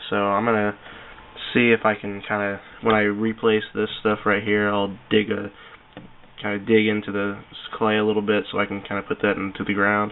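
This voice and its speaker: The man's intonation is monotone and flat, with noticeable background noise behind him. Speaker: reptile hobbyist vlogger. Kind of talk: casual video tour. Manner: hesitant, many fillers.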